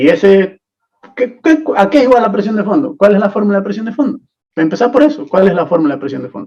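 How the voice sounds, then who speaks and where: A man with a high pitch and a dark, mellow tone rushes at a very fast pace through very wide pitch swings. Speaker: teaching assistant. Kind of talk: online tutorial class.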